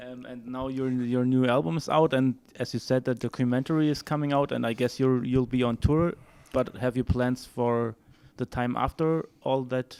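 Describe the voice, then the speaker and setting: With a German accent and fairly even intonation, a man speaks on a very clean recording with a silent background. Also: medium pitch for a man, moderate pace. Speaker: music journalist interviewer. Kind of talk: interview. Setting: music festival. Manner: halting.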